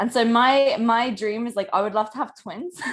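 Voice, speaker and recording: Speaking fairly quickly with a British accent, a woman has a fairly high, somewhat breathy voice. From UK. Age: 20s. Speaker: online business coach. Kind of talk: podcast interview.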